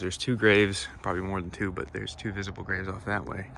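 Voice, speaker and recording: Soft-spoken and fairly low in pitch, a man talks at a fairly quick pace with fairly even intonation while room echo is audible. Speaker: cemetery explorer vlogger. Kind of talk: casual vlog narration. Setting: outdoors in the woods. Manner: quiet, speaking softly; halting, many fillers.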